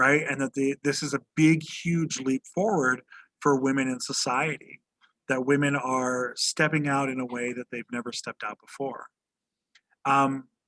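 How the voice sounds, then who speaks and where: The sound is dry and close, with no echo. A man speaks in a fairly high voice with fairly even intonation. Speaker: high school history teacher. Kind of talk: lecture. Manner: fast; casual with many fillers.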